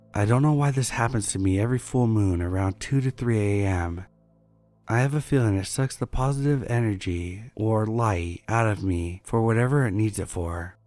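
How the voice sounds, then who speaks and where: A man's fairly low-pitched voice with music in the background. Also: ordinary pitch variation, moderate pace. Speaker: scary story narrator. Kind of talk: scripted horror story narration, reading listener-submitted tales, for sleep.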